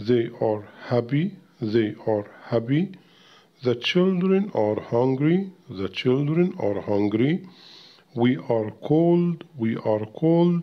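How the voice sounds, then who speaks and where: A man speaks at a medium pitch with a Cairo accent. His pace is very slow, and his pitch swings very widely. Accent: Egyptian Arabic (Cairene). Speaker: English teacher. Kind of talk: tutorial. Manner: repeats words slowly for pronunciation practice.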